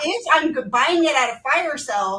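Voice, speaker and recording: Bright and sharp in tone, the speaking is raised and projected. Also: woman. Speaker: automotive dealership consultant. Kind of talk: panel discussion.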